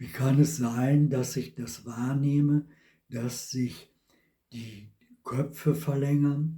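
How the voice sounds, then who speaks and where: At a very slow pace with long, frequent pauses, a man with a fairly high pitch and a dark, mellow, somewhat breathy tone keeps his intonation fairly even. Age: 70s. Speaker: vlogger. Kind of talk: personal testimony monologue.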